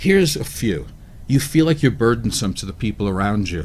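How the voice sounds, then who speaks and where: This is a man speaking. His intonation is lively. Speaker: radio show co-host. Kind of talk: radio talk discussion. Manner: fast.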